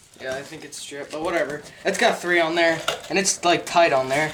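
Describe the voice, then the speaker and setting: A man's high voice at a moderate pace, with noticeable background noise. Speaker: DIY video creator. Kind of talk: casual tutorial. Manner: casual, filler-heavy.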